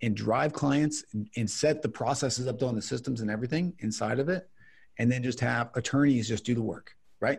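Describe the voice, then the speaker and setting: Somewhat breathy, a man speaks at a medium pitch with ordinary pitch variation, recorded very cleanly against a silent background. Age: 30s. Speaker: business owner, attorney. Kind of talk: podcast interview.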